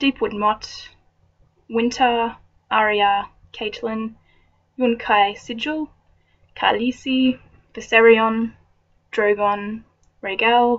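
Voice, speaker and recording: A woman with an Australian accent speaks very slowly in a flat monotone at a fairly high pitch, leaving long, frequent pauses. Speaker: vlogger. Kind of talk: reading aloud; casual chat.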